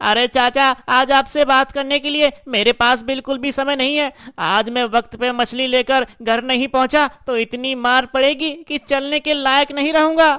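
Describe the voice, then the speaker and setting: This is a cartoonish character voice pitched high. It moves at a moderate pace with hardly any pauses. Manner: earnest, naive.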